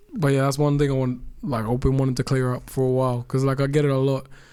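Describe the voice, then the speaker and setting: In an American accent, a man speaks very fast at a medium pitch, his dark, mellow tone held in a monotone, flat intonation. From Australia, Mackay, Queensland. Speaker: rapper. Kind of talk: casual podcast interview.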